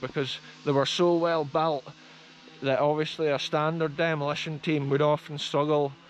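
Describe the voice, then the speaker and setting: The sound is dry with no echo and light background noise as a man speaks at a fairly quick pace with fairly even intonation. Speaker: explorer vlogger. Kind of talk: casual vlog commentary. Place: open country. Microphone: phone near.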